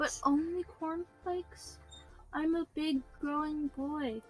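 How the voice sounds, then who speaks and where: Someone performs a put-on character voice at a fairly slow pace. Clear music plays in the background. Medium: actual play.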